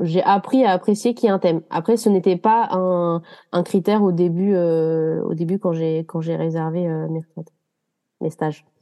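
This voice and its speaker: A woman with a fairly low voice speaks at a moderate pace. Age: 20s. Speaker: yoga retreat participant. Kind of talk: casual interview chat. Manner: hesitant, many fillers.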